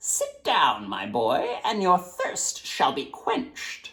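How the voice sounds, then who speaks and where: Speaking very slowly, a man uses a put-on character voice. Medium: read story.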